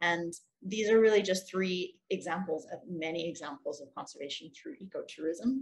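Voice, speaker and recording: A somewhat breathy voice at a moderate pace. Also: woman. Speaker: ecotourism social enterprise representative. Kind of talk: conference presentation. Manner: clear.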